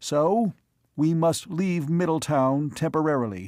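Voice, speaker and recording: In a put-on character voice, a man talks at a fairly slow pace, his fairly high pitch rising and falling in lively intonation. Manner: subdued, without pomposity.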